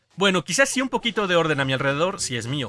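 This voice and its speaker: A man with a Mexican accent, high-pitched, with very wide pitch swings, over background music. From Mexico. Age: 30s. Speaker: podcast host. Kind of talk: casual chat.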